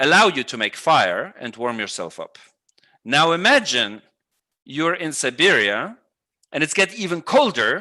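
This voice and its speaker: A man with a Russian accent, fairly high pitch, very wide pitch swings, big swings in loudness, a bright, sharp tone, vocal fry and long, frequent pauses. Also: fairly slow pace. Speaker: economics professor. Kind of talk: online lecture Q&A.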